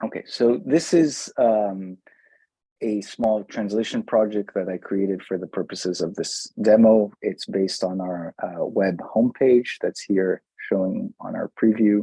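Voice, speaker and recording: This man has a Brazilian accent and a dark, mellow tone at a fairly low pitch. He talks at a fairly slow pace with ordinary pitch variation, and the sound is dry and close with no echo. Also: very clean recording, silent background. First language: Brazilian Portuguese. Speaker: tech company CEO presenting a software demo. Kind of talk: software demo presentation. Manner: many fillers and restarts.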